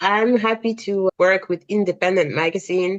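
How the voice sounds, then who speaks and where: Her voice sits at medium pitch. The woman speaks with a French accent. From France, Cameroonian family. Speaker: freelance fashion writer. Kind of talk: podcast interview.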